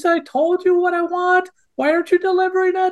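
A put-on character voice, extremely high-pitched and whiny, with monotone, flat intonation. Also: fairly quick pace. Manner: whining, self-pitying.

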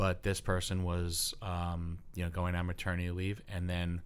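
A man speaks with an American accent at a fairly slow pace. His pitch is very deep and low. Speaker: high school English teacher. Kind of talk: casual interview. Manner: loud.

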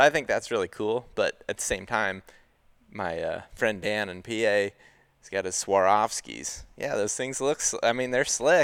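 A plain, everyday voice talks at a moderate pace with big swings in loudness. The sound is dry and close, with no echo. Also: man, very clean recording, silent background. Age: 30s. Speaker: hunting podcast host. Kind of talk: casual chat.

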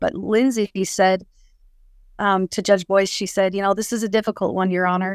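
A woman with a western US accent, medium-pitched, talking at a fairly quick pace. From Utah, Salt Lake City area. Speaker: podcast guest sharing life story. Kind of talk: testimony. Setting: video call.

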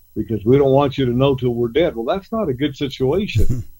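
A man with an American accent talks at a moderate pace in a normal speaking voice. His medium pitch shows ordinary pitch variation. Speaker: ranch consultant and coach. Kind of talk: casual radio interview.

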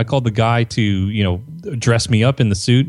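This man talks at a fairly quick pace. His pitch is medium and varies in an ordinary way. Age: 30s. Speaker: marketing consultant and author. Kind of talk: interview.

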